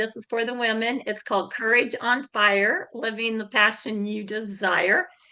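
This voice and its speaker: A loud woman's voice, fairly high in pitch, bright and sharp in tone, with fairly even intonation at a moderate pace. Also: hardly any pauses. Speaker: networking group host. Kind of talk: group video meeting.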